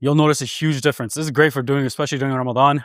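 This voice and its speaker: The recording of this man sounds dry and close, with no echo. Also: very clean recording, silent background. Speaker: fitness instructor. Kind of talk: tutorial. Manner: casual, conversational.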